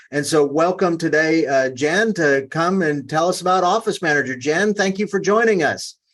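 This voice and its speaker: With an American accent, a man speaks at a moderate pace and high pitch, his loudness very even and his words running with hardly any pauses over a quiet background. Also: ordinary pitch variation. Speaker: webinar host. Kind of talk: webinar presentation. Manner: halting, many fillers.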